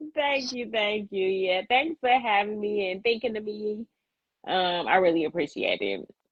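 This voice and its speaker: A woman speaks at a medium pitch. Her pitch varies in an ordinary way, and her pace is moderate. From Chicago. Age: 30s. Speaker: lactation consultant, guest. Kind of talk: casual interview chat.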